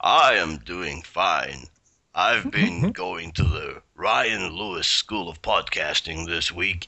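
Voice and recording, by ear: A man speaks very slowly in a put-on character voice that is gruff and pitched very deep and low.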